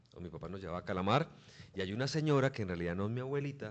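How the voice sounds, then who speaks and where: Very fast speech with lively intonation. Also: man. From Colombia, Bucaramanga (Santander). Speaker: sports journalist. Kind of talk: interview.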